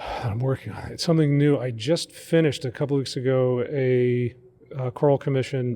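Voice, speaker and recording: Speaking in an American accent, a man holds a medium pitch, fairly even intonation and a moderate pace. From Long Island, New York. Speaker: cathedral music director and composer. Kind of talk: radio interview. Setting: on location at a seminary. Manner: casual, with many fillers.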